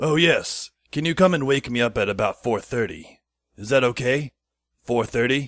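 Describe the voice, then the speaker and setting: A raspy put-on character voice from a man, medium in pitch with ordinary pitch variation, at a moderate pace, in a dry, close sound with no echo. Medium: audio drama. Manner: long-winded, casual.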